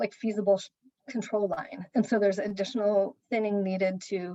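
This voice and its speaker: The sound is dry and close with no echo as a woman speaks at a medium pitch with fairly even intonation and a dark, mellow tone. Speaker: land trust staff, conservation. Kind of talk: work meeting update. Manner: fast.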